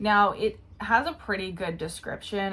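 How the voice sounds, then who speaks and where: Somewhat breathy, a woman speaks with an Australian accent and ordinary pitch variation. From Australia, Brisbane area. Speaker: YouTuber. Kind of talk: casual commentary video.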